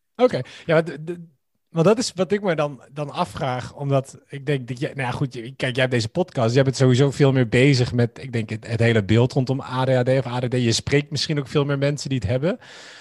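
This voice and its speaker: A man with a medium, somewhat breathy voice talks at a fairly quick pace with ordinary pitch variation. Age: 30s. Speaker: podcast guest. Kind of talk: casual chat.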